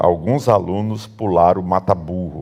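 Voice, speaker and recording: Very deep and low, a man's voice carries a dark, mellow tone and ordinary pitch variation. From northern Bahia, Brazil. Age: 60s. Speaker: pastor. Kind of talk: sermon. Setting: church. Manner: casual storytelling.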